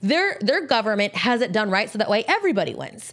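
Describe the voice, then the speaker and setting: Very wide pitch swings at a fairly quick pace. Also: woman. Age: 30s. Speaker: entrepreneur in cannabis industry. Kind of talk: casual chat.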